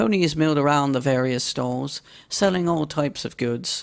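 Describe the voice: At a moderate pace, a woman speaks with a low pitch, vocal fry and ordinary pitch variation.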